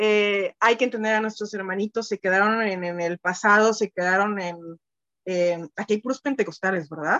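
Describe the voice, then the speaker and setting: A woman speaks at a fairly slow pace in a bright, sharp tone, the sound dry and close with no echo. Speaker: church member. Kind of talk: prayer; testimony. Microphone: phone.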